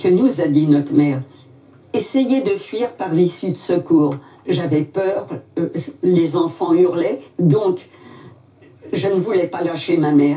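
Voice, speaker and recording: Speaking at a very slow pace, the woman leaves long, frequent pauses. Her pitch is fairly low and her intonation lively. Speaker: Holocaust survivor. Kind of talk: testimony.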